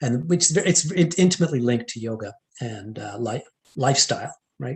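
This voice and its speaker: With a Canadian accent, this somewhat breathy voice moves at a fairly quick pace and carries lively intonation. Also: man. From western Canada, Edmonton Alberta, Indian household. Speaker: entrepreneur, former finance professional. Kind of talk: interview conversation. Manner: hesitant, many fillers and restarts.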